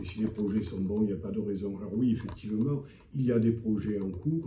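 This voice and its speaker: The man's voice is somewhat breathy with a dark, mellow tone. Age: 70s. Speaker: mayor and physician. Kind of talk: interview answer.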